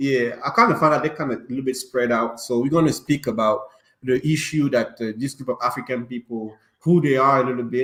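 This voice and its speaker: Medium in pitch, a man speaks with a non-native accent. His pace is fairly quick and his intonation fairly even. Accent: non-native English accent, noticeable. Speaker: podcast host. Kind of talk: casual chat.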